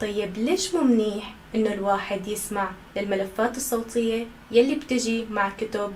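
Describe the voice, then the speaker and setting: Her pitch is fairly high, and she speaks at a fairly slow pace with ordinary pitch variation. Noticeable background noise sits behind the woman. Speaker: Arabic language instructor. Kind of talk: educational talk to camera. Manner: natural, conversational.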